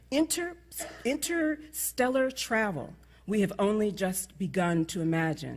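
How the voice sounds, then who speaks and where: In a very clean recording with a silent background, a woman with an American accent speaks at a fairly slow pace and medium pitch, somewhat breathy, with very wide pitch swings. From New York. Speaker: conference speaker. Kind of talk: speech.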